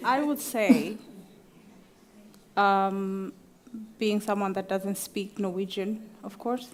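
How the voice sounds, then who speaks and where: Very slow pace with long, frequent pauses, fairly even intonation and big swings in loudness. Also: woman, medium pitch for a woman. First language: an African language. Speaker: panelist. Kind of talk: panel discussion.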